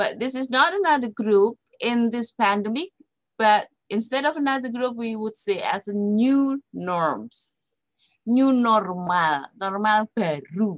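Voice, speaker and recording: With an Indonesian accent and lively intonation, a woman with a fairly high pitch speaks at a fairly slow pace in a dry, close sound with no echo. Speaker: psychology lecturer. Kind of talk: lecture. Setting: online webinar. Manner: halting, many fillers and repetitions.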